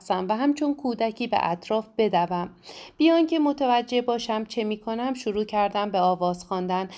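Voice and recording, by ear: The voice is reading aloud in a natural voice, with lively intonation.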